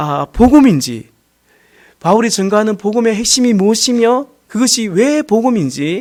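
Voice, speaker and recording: The voice is loud, with very wide pitch swings at a moderate pace. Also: man. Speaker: pastor. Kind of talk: sermon.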